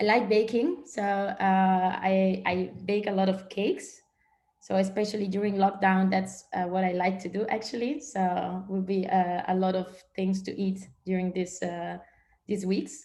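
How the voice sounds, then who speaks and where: Fairly slow and somewhat breathy, a woman speaks at medium pitch with a dark, mellow tone and fairly even intonation. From northern Italy, small village. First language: Italian. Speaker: strategic and service designer. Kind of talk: guest presentation in online training session. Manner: hesitant, many fillers.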